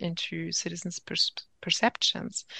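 A woman with a German accent at a fairly slow pace, the sound dry and close with no echo. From Germany. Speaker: political science professor. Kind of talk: interview. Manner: hesitant, many fillers.

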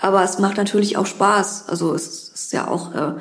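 Audible room echo and noticeable background noise surround a woman at a medium pitch. She keeps a moderate pace and fairly even intonation. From Berlin, Germany. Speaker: criminal defence lawyer. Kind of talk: interview. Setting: law office.

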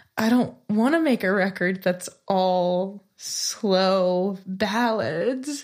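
Speaking at a very slow pace with hardly any pauses, a woman uses an American accent. Her pitch is medium, with ordinary variation. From California. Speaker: singer-songwriter. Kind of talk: casual interview chat.

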